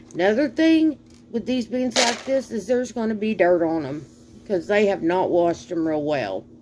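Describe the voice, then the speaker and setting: With an American accent, a woman talks in a lively intonation over noticeable background noise. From US South. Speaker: home cooking vlogger. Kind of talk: cooking tutorial. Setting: home kitchen. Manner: casual, chatty.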